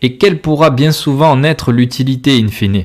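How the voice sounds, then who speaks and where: Here a man speaks with a southern French accent. His medium pitch shows ordinary variation. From southern France. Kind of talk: religious podcast sermon. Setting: home recording, simple equipment. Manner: loud, close to the mic.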